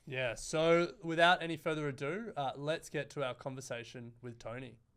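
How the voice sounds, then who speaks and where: Speaking with a strong Australian accent, a man talks at a moderate pace. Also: fairly high pitch for a man, ordinary pitch variation. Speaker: podcast host. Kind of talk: interview.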